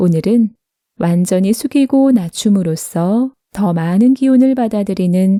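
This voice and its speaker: At a very slow pace, a woman speaks at a medium pitch with ordinary pitch variation in a calm, soothing, dark, mellow tone, with a dry, close sound and no echo. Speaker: narrator. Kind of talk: meditative essay reading.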